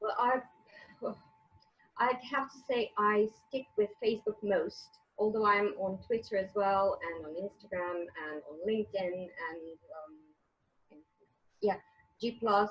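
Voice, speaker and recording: With a Croatian accent, a woman speaks at a medium pitch in a somewhat breathy voice with ordinary pitch variation. Her pace is fairly slow, with long, frequent pauses and big swings in loudness. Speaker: author and English teacher. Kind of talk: interview. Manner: halting.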